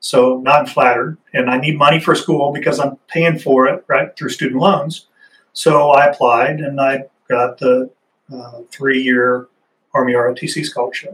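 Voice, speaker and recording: A man with a fairly high pitch talks at a fairly slow pace. He has an ordinary speaking voice. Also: fairly even intonation. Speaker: Army Ranger veteran, nonprofit executive director. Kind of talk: interview.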